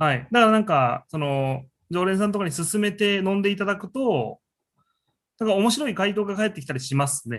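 Over a quiet background, a man with a high pitch talks at a fairly quick pace with lively intonation. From Japan, Gifu Prefecture. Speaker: restaurant owner and chef. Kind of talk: interview.

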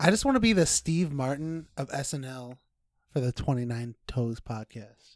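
A man's fairly high-pitched, plain, everyday voice, lively in intonation and moderate in pace, with big swings in loudness, dry and close with no echo, in a very clean recording with a silent background. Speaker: podcast guest. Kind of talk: casual chat.

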